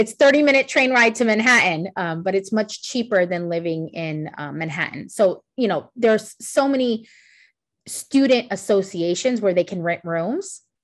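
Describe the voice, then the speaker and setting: With a New York accent, a woman speaks at medium pitch with lively intonation against a quiet background. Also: moderate pace. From New York City. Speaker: college international recruiter. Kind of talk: webinar presentation Q&A.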